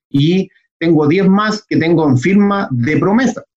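A somewhat breathy man with lively intonation. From Chile (Santiago). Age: 30s. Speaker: real estate investor. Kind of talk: interview.

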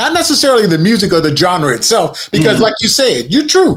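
Over music in the background, a man with an American accent speaks with very wide pitch swings. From Newport News, Virginia. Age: 50s. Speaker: media consultant and podcaster. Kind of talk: casual debate.

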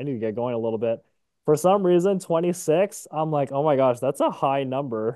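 Using a normal speaking voice, a man talks at a fairly quick pace, with a medium pitch and ordinary pitch variation. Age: 20s. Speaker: podcast co-host. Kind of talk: casual chat. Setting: recording late evening, Eastern Time.

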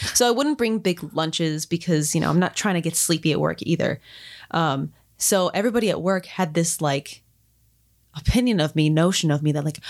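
A plain, everyday voice with an American accent, moderate pace and ordinary pitch variation, on a very clean recording with a silent background. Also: woman, very even loudness. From Florida. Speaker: podcast host. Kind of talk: casual chat.

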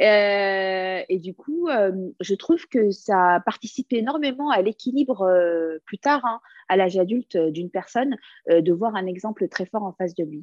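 A woman's voice at medium pitch, an ordinary speaking voice, fairly slow in pace with lively intonation. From France, Lebanese family. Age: 30s. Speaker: comedian. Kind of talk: casual interview.

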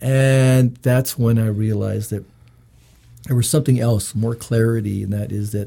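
Somewhat breathy and dark, mellow in tone, a man speaks at a medium pitch and a moderate pace with fairly even intonation. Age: 50s. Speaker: legal commissioner. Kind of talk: casual chat. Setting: studio.

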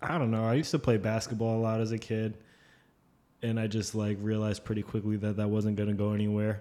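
A man's fairly low, dark, mellow voice at a very fast pace, monotone and flat, on a very clean recording with a silent background. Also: very even loudness. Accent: American. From northern New Jersey, Fort Lee. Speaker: illustrator. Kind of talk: casual chat.

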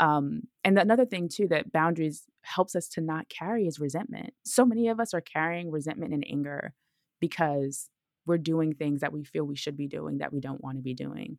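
A woman with an American accent speaks at a fairly quick pace in a very deep, low voice with lively intonation, the sound dry and close with no echo on a very clean recording with a silent background. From Brooklyn, New York. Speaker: self-healing expert and podcast host. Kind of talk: interview.

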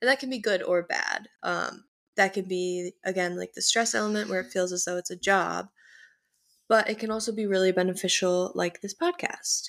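A woman with an American accent talks at a moderate pace in a plain, everyday voice, at medium pitch with ordinary pitch variation. The recording is very clean, with a silent background. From US Midwest, North Shore of Chicago. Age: 19. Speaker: podcast co-host, college student. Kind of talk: casual chat.

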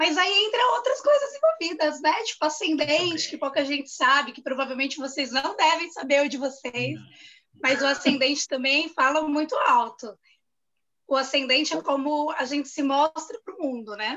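A woman projects a raised voice at a high pitch, her intonation lively, her loudness swinging widely, and her pace moderate. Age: 30s. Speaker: journalist. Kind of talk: casual chat.

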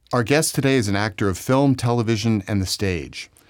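Here is a plain, everyday voice at a moderate pace with ordinary pitch variation. The recording is very clean, the background silent. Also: man. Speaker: podcast host. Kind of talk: interview.

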